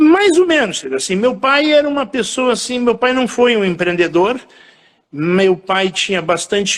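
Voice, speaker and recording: A man speaks at a fairly slow pace in a high voice. His pitch swings very widely. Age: 60s. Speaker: event entrepreneur. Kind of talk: interview.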